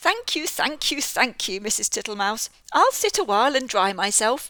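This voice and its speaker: A woman puts on a character voice with a high pitch and a wheezy sound. Her pace is moderate. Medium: read story. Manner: slow, repetitive.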